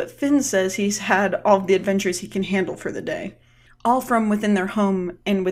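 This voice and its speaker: Pitch moves up and down in a typical way. The pace is moderate. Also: woman. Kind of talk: solo commentary on a TV episode.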